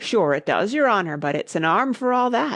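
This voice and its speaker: Putting on a character voice, a woman speaks at a moderate pace with a raspy, medium-pitched tone. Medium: read story. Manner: deferential, says 'your honour'.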